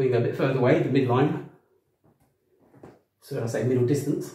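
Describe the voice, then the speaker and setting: Very fast speech with vocal fry, a dark, mellow tone and audible room echo. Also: man. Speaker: boxing coach. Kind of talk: tutorial. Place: home room. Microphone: camera far.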